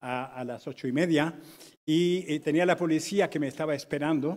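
Speaking fairly slowly, a man delivers his lines. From Colombia. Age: 60s. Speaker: urban researcher, conference speaker; conference speaker. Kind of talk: conference talk. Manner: halting. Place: hall.

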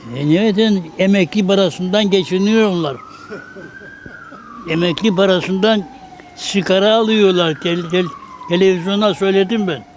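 Amid noticeable background noise, a man with a high voice speaks at a fairly slow pace with long, frequent pauses and fairly even intonation. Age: 80s+. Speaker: umbrella repairman. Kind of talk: interview answer.

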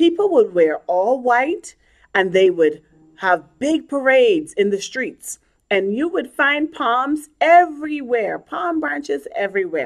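A woman speaks in a gentle tone at a fairly high pitch, with very wide pitch swings. The background is quiet. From Bahamas (Nassau); Bahamas. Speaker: children's ministry leader. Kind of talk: children's sermon. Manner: gentle, storytelling to children.

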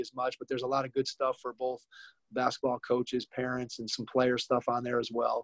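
The speaker talks at a very fast pace in an American accent with monotone, flat intonation. The sound is dry with no echo, over a quiet background. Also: man. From Ohio. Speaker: basketball camp owner and podcast host; podcast host. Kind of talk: interview.

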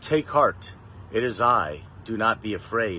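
Over light background noise, a man speaks with lively intonation in a bright, sharp tone, the sound dry with no echo. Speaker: lay scripture reader. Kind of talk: scripture reading. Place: garden. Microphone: phone near.

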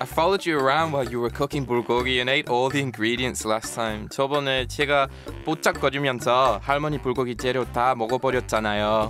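Music plays in the background as a man talks at medium pitch and moderate pace, with ordinary pitch variation and hardly any pauses. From England. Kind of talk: scripted radio segment.

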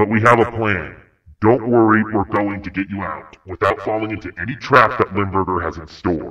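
Using a put-on character voice, a man speaks fairly low in pitch at a moderate pace. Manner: calm, thinking ahead.

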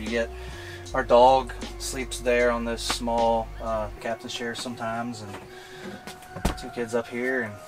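A man speaks over loud music in the background. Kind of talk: casual tour explanation. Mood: relaxed, friendly. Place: car.

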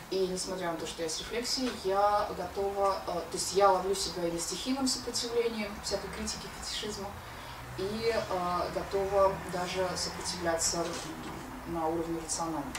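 Against noticeable background noise, a woman with a medium pitch talks at a moderate pace with ordinary pitch variation. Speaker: philosopher, seminar co-leader. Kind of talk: philosophical seminar talk. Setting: lecture room with audience and microphone. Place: home room.

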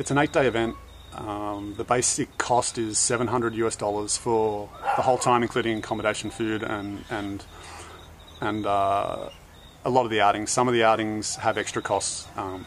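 A man's fairly low voice at a moderate pace, monotone and flat, with light background noise. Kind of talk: casual vlog chat. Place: garden.

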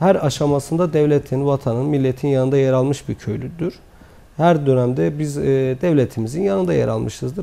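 Male speech at a moderate pace with a dark, mellow tone. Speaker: guest. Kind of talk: interview answer. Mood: calm, formal, explanatory. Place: studio. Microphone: lapel.

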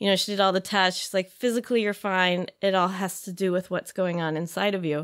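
A woman's monotone, flat voice with an American accent against a quiet background. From Chicago area, US Midwest. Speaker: yoga teacher. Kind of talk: casual interview. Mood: warm, reflective storytelling. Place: studio. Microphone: studio mic.

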